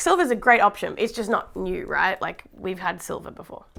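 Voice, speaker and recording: Bright and sharp in tone, a woman talks at a fairly quick pace in a fairly high pitch, sounding animated. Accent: Australian. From Australia. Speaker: tech reviewer. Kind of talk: unboxing video.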